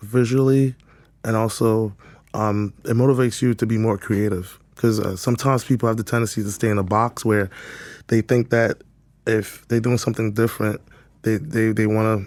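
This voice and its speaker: Medium in pitch and monotone, flat in intonation, a man speaks at a moderate pace on a very clean recording with a silent background. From West Africa, raised in New York. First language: French. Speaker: boutique owner and creative director. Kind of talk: podcast interview.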